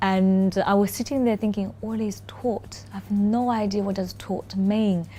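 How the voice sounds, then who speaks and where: A woman speaks at a fairly slow pace with a Chinese accent. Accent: Mandarin Chinese accent in English. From China. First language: Mandarin. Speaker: corporate lawyer. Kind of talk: interview. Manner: hesitant, many fillers.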